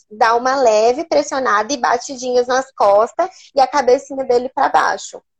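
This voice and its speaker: At a moderate pace, a woman speaks high and with lively intonation, her loudness very even. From Rondônia, Brazil. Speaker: nutritionist. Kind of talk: live stream interview.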